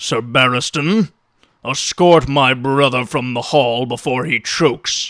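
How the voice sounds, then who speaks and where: A loud, raspy put-on character voice from a man, medium in pitch, at a fairly slow pace, in a very clean recording with a silent background. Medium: read story. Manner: gruff, blunt.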